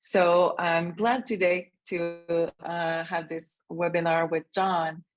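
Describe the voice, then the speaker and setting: Against a quiet background, a woman with a Quebec accent talks very slowly in a fairly low voice. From Canada. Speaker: association co-founder. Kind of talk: webinar introduction.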